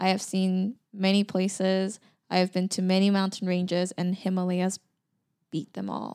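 In a very clean recording with a silent background, a woman speaks at a medium pitch and a moderate pace, her intonation monotone and flat. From Busan, South Korea. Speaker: guest. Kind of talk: casual interview chat.

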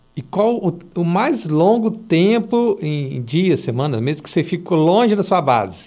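Fairly slow yet with hardly any pauses, a man speaks at a high pitch with very wide pitch swings and a dark, mellow tone. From Espírito Santo, Brazil. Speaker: podcast host. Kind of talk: casual interview chat.

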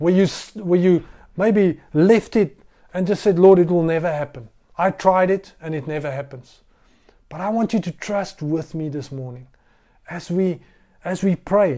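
In a very clean recording with a silent background, a man with an Afrikaans South African accent speaks at a moderate pace and a high pitch, his dark, mellow tone showing ordinary pitch variation, big swings in loudness and long, frequent pauses. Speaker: pastor. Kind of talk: sermon. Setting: recorded livestream sermon during lockdown. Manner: halting.

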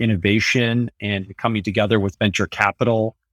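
On a very clean recording with a silent background, a man at fairly low pitch speaks with a Californian accent in a dry, close sound with no echo. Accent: General American (Californian). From US West Coast (San Francisco Bay Area). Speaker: tech company CEO and author. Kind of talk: interview.

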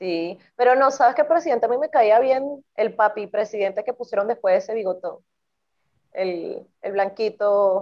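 A woman with a Venezuelan accent at a moderate pace, with ordinary pitch variation. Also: fairly high pitch for a woman. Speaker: podcast co-host. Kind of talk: casual chat.

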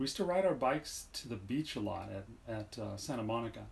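A man's somewhat breathy, medium-pitched voice. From Southern California. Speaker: father being interviewed. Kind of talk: family interview about life story. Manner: hesitant, many fillers.

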